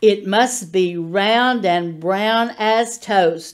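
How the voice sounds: In a natural reading voice, the speaker shows ordinary pitch variation.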